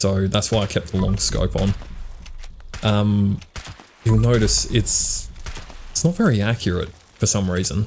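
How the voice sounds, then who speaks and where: Amid noticeable background noise, the speaker goes at a fairly slow pace with long, frequent pauses and very even loudness. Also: man, fairly low pitch for a man, ordinary pitch variation. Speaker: gaming YouTuber. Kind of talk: gameplay commentary.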